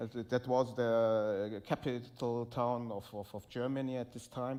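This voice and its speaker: A man with a Turkish accent at a fairly slow pace. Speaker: musician and co-host. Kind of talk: live conversation on stage. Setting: stage with audience. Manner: halting.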